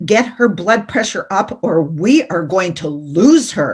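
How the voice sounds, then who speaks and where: A put-on character voice growls in a gruff, stern tone at middle pitch. The pace is fairly slow. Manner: stern and urgent.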